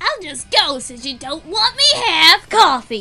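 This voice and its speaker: A high-pitched, put-on character voice speaks at a moderate pace. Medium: dub. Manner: whiny, pleading.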